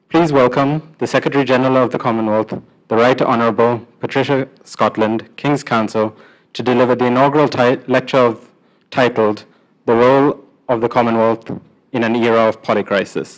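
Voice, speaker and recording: Over a quiet background, a man talks at a fairly quick pace with fairly even intonation. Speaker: event emcee. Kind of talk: formal ceremony speech. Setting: stage with audience. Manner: formal. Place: hall. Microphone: podium.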